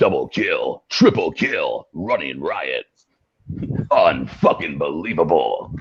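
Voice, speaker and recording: A man performs a put-on character voice. He talks at a fairly slow pace. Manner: loud, hyped, aggressive.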